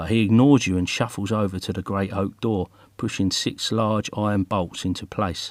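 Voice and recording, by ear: With fairly even intonation, this is reading aloud in a natural voice.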